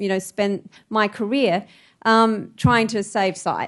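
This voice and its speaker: With an unremarkable speaking voice, a woman talks at a moderate pace and a fairly high pitch. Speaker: eye researcher. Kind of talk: lecture presentation. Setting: stage with audience.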